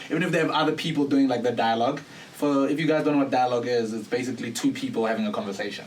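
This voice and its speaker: Very fast speech from a man at a fairly high pitch with ordinary pitch variation, plus audible room echo and noticeable background noise. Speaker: voice-over artist and actor. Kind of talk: casual podcast interview. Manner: animated.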